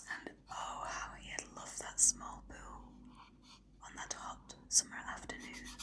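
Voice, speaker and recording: A woman whispers in a soothing tone at a fairly slow pace, her loudness swinging widely against noticeable background noise. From Britain. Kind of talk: bedtime story narration. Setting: ASMR video. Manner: whispered, soothing.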